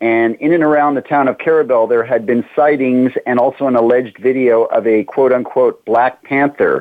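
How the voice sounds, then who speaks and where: In a plain, everyday voice, a man speaks at a medium pitch and moderate pace with fairly even intonation, very even loudness and hardly any pauses. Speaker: cryptozoologist. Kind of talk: casual interview.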